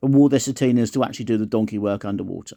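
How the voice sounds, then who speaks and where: A man talks at a very fast pace in a medium pitch. His pitch varies in an ordinary way, and the background is quiet. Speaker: watch collector vlogger. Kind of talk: casual video review. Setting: at home, sick bed. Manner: slurred.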